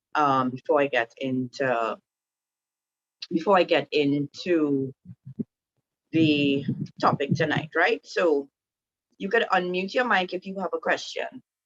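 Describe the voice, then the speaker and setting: The speaker has a Trinidadian accent and a fairly slow pace. There are long, frequent pauses, and the sound is dry and close with no echo. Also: woman, very deep, low pitch for a woman, lively intonation. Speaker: women's group speaker. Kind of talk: online talk to a group. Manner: casual, hesitant with many fillers.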